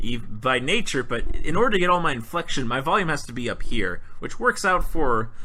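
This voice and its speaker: With hardly any pauses, a man talks at a fairly quick pace in a bright, sharp, fairly high voice with very wide pitch swings and audible room echo. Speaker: podcast co-host. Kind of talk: casual chat. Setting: home apartment recording. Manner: loud.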